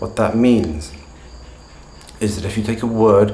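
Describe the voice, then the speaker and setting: There is noticeable background noise and audible room echo. Through it, a man speaks with a fairly low pitch. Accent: British. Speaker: English pronunciation teacher. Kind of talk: tutorial. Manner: clear, measured delivery.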